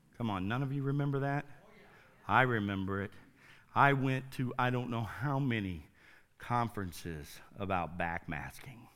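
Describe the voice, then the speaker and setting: A man at a medium pitch with lively intonation, moderate in pace yet with long, frequent pauses, amid audible room echo. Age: 50s. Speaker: pastor. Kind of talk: sermon.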